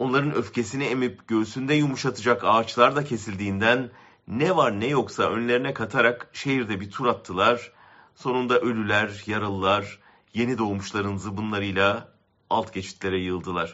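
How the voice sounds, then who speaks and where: A man talks in a normal speaking voice, his medium pitch showing ordinary variation as he moves at a moderate pace. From Ankara, Turkey. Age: 60s. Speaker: columnist. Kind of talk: reading aloud a personal essay.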